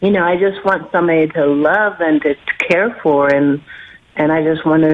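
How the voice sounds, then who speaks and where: Over noticeable background noise, a woman with a very deep, low voice speaks at a moderate pace with fairly even intonation. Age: 60s. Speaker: caller. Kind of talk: phone-in question. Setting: phone call. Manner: halting, many fillers.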